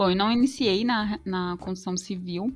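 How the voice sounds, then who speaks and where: A woman speaks at a moderate pace with ordinary pitch variation. It is an ordinary speaking voice. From São Paulo, Brazil. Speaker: HR manager. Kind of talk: interview.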